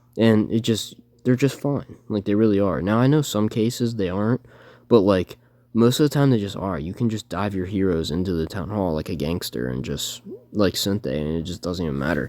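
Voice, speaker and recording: A man's dark, mellow tone, fairly low in pitch, with lively intonation at a fairly quick pace. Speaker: gaming youtuber. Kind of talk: gameplay commentary. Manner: fast; casual, halting with self-corrections.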